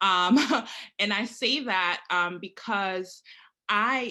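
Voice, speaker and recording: With a quiet background, a woman speaks at a medium pitch in a bright, sharp tone. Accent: Haitian. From Haiti. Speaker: prosecutor. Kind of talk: panel discussion.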